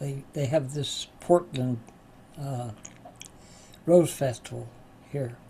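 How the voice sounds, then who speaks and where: A dark, mellow, somewhat breathy tone at a very slow pace, with fairly even intonation and long, frequent pauses. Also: man, fairly high pitch for a man. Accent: American. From West Virginia. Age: 80s+. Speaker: spiritual teacher and recovery class leader. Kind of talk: class talk with personal stories. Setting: live online class. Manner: halting, many fillers.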